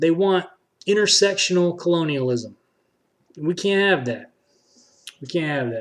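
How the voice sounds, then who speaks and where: A high-pitched man at a moderate pace, with lively intonation, big swings in loudness, and long, frequent pauses. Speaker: political streamer. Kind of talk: live stream commentary. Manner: passionate.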